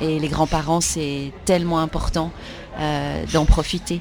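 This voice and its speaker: Music plays in the background. A woman with a very deep, low pitch speaks at a fairly slow pace. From Switzerland, Lausanne. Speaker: actress and children's book author. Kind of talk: interview.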